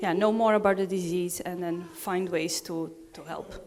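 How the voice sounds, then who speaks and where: A woman with a Portuguese accent speaks at a moderate pace and medium pitch, her intonation monotone and flat. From Portugal. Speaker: hospital lab researcher. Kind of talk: self-introduction.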